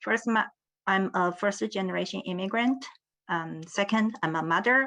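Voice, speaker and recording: A woman with a strong Chinese accent speaks at a medium pitch in a bright, sharp tone against a quiet background. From China. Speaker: professor of education. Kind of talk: panel talk. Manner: halting, many fillers.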